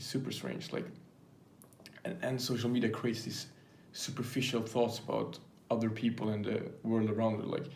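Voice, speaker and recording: Amid audible room echo, a man of medium pitch speaks at a moderate pace in a non-native accent, leaving long, frequent pauses. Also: ordinary pitch variation. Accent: non-native English speaker. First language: not English. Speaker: YouTuber. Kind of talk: casual vlog monologue. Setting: filming to camera. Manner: halting, many fillers.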